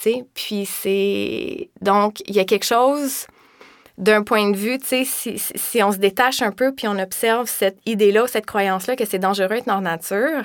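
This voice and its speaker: On a very clean recording with a silent background, a woman speaks at a fairly high pitch and a fairly slow pace, with ordinary pitch variation and big swings in loudness. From Quebec, Laurentians. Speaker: yoga teacher and massage therapist. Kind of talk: interview.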